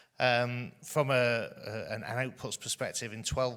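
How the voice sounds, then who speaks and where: Loud and bright, a man's voice has a sharp tone. He speaks fairly slowly. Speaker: further education college leader. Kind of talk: conference panel talk. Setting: stage with audience. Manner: halting, many fillers.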